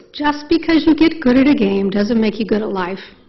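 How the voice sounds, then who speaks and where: A woman with a high pitch speaks in an animated tone with lively intonation, and room echo is audible. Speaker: neuropsychologist. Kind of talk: lecture. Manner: fast.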